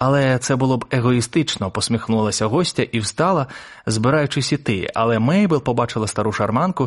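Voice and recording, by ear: A natural voice reading a text aloud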